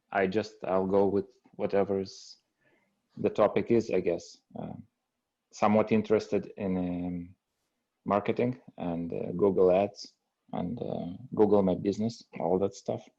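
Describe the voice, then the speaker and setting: A man's fairly low, moderately paced speech with fairly even intonation and long, frequent pauses. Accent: European. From Europe. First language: non-English European language. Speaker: aspiring appliance repair technician. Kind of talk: group video call discussion. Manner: halting, many fillers.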